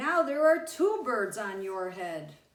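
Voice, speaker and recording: Someone performs a put-on character voice. It moves with very wide pitch swings at a fairly slow pace. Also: woman, fairly high pitch for a woman. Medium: read story. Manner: calm, matter-of-fact.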